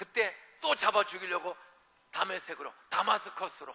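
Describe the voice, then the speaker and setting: An animated man talks over noticeable background noise. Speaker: revival preacher. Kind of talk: sermon. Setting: church. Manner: fast.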